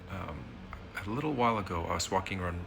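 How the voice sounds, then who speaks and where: Very deep, low male speech, its pitch varying in an ordinary way, with room echo clearly audible. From Indonesia. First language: Indonesian. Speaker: vlogger, immigrant parent. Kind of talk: casual personal vlog. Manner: hesitant, many fillers.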